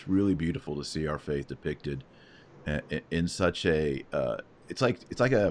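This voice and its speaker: A man's very deep, low voice with lively intonation, a moderate pace and long, frequent pauses. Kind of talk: interview on a live stream. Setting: live online broadcast. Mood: warm, reverent. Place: home room. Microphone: studio mic.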